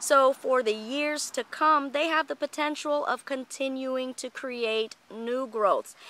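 Very slowly and with hardly any pauses, a woman speaks at a high pitch in a bright, sharp tone with fairly even intonation, the sound dry with no echo. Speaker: orchid grower and video host; video host. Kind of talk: tutorial. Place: garden. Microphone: phone near.

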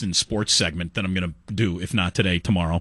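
A man speaks at a fairly quick pace with a bright, sharp tone. The sound is dry with no echo, over a quiet background. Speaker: sports radio host. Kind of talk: sports talk radio. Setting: studio. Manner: casual, wry. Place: studio.

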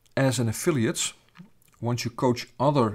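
A man with a Dutch accent speaks at a moderate pace and medium pitch, somewhat breathy, with ordinary pitch variation. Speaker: business founder and coach. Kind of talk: sales pitch. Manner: hesitant with filler sounds.

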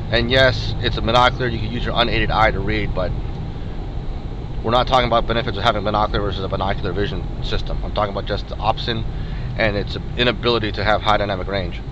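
Speech comes at a very fast pace, dry with no echo, with noticeable noise in the background. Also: man. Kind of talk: commentary. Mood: mildly critical, explanatory. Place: car. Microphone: camera far.

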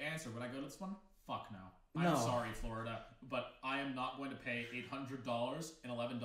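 At a moderate pace, a man talks in a room with audible echo and light background noise. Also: ordinary pitch variation. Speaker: video co-host. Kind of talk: casual commentary. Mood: joking, exclaiming. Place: home room.

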